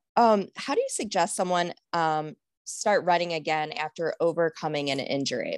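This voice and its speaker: In a very clean recording with a silent background and a dry, close sound with no echo, a woman with a normal speaking voice talks at a moderate pace, her fairly low pitch showing ordinary variation. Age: 40s. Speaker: podcast host. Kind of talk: casual chat; scripted narration.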